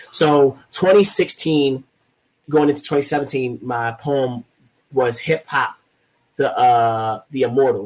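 The man's voice is somewhat breathy. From Baltimore, Maryland. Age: 30s. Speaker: poet. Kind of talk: interview. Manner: passionate, intense.

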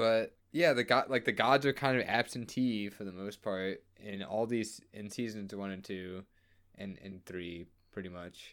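In a very clean recording with a silent background, a man with a plain, everyday voice and an American accent speaks fairly slowly at a fairly low pitch, his loudness swinging widely. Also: ordinary pitch variation. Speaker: podcast host. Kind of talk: casual chat. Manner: joking.

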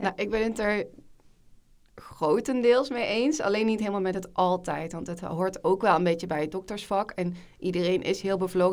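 A plain, everyday voice talks with fairly even intonation at a moderate pace. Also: woman. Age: 20s. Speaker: junior doctor. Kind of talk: casual chat.

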